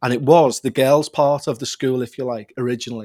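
This man talks at a fairly quick pace in a Liverpool accent. The recording is very clean with a silent background, and the sound is dry and close with no echo. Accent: Liverpool (Scouse). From Liverpool, England. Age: 40s. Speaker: podcast host and paranormal investigator. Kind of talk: casual interview, storytelling.

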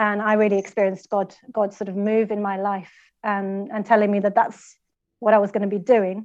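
Speaking fairly quickly, a woman with a medium pitch keeps a monotone, flat intonation. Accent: Swedish. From Sweden. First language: Swedish. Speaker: anti-trafficking worker and church planter. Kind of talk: interview.

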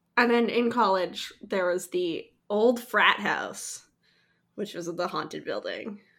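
A woman with an ordinary speaking voice talks fairly high in her range, her pitch varying in an ordinary way. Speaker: podcast guest. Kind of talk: casual chat.

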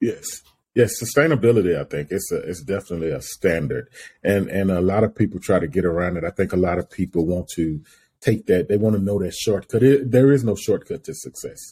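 Fairly low in pitch and somewhat breathy, a man's dark, mellow voice moves at a fairly quick pace with lively intonation. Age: 40s. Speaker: podcast host. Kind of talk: casual interview. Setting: video call. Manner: animated.

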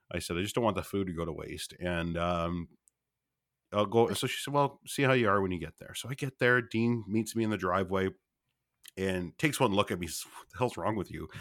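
In a very clean recording with a silent background, a man talks at a fairly low pitch with ordinary pitch variation and big swings in loudness. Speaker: podcast co-host and patient. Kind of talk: storytelling, comedic. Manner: loud, animated.

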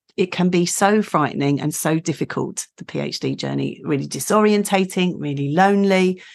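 Against a quiet background, a woman with a plain, everyday voice speaks at a moderate pace, her fairly low pitch showing ordinary variation. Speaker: podcast host. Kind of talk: casual interview chat.

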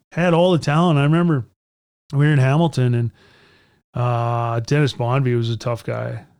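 In a Canadian accent, a man at a medium pitch speaks at a moderate pace with ordinary pitch variation and long, frequent pauses, on a very clean recording with a silent background. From Edmonton, Alberta, Canada. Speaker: retired hockey player. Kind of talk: interview storytelling. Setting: studio. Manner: animated.

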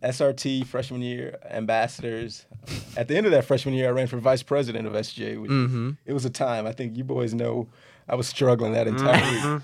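A man with a medium pitch keeps his intonation fairly even, talking at a moderate pace. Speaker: podcast guest, student body president. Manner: confident, politician-like delivery.

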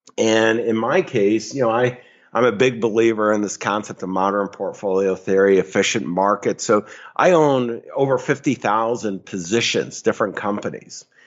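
It's an ordinary speaking voice: a man with an American accent, medium pitch, ordinary pitch variation and a moderate pace. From upstate New York. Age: 60s. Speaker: financial advisor. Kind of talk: interview.

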